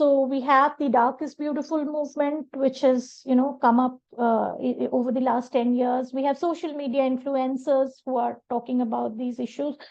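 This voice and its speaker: A woman with a Bengali accent talks at a moderate pace, hardly pausing at all. Her high voice stays flat and monotone. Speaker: professor. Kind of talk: interview. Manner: halting, many fillers.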